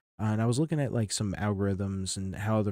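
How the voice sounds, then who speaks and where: Soft-spoken and fairly low in pitch, a man talks in a dark, mellow tone with ordinary pitch variation, in a very clean recording with a silent background and a dry, close sound with no echo. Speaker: game streamer. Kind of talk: casual live stream chat. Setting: home live stream. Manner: soft-spoken, keeping it down; casual, halting with restarts.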